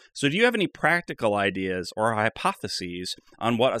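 Using an ordinary speaking voice, a man talks at a fairly quick pace and a medium pitch with lively intonation, the sound dry and close with no echo. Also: very clean recording, silent background. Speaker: podcast host. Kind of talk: casual comedy banter.

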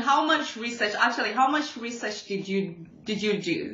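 Lively in intonation, a woman speaks at a high pitch and moderate pace amid audible room echo. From Zambia. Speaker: podcast host. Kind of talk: casual interview.

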